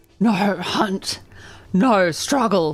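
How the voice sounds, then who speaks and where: A put-on character voice comes out as a growl. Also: female-sounding voice, medium pitch for a woman. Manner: annoyed.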